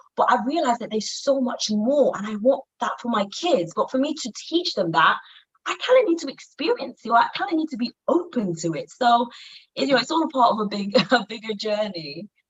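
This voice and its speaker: A woman talks in a high voice with a Yoruba accent. Her pitch swings very widely at a fairly quick pace. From Nigeria. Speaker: business coach for women. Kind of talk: interview. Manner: hesitant, many fillers.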